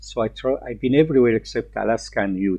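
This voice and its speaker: A man speaks with an Arabic accent. His pace is moderate. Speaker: Islamic teacher. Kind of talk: lecture. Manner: halting.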